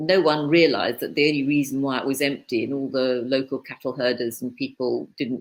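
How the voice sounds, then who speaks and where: The delivery moves at a fairly quick pace. Its pitch variation is ordinary. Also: woman. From East Africa (Tanganyika). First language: Swahili. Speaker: author and publisher. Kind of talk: casual interview conversation.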